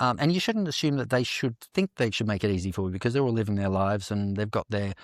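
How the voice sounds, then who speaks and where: Recorded very clean with a silent background and a dry, close sound with no echo, a man with an Australian accent speaks at a fairly low pitch. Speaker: dancer and actor. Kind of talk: interview podcast.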